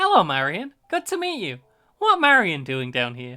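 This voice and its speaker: A put-on character voice at a middle pitch and moderate pace is heard over music in the background. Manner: friendly, cheerful.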